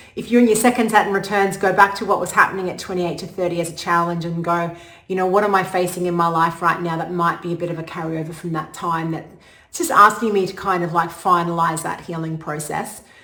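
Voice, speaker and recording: A woman talks very fast, and audible room echo follows her words. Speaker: astrologer. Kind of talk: casual talk to camera. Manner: animated.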